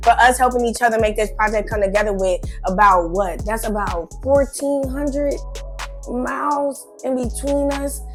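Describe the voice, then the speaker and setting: With music in the background, a woman with an American accent talks at a moderate pace with ordinary pitch variation. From Chicago. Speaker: rapper and singer. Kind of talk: interview answer. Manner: casual, profane, animated.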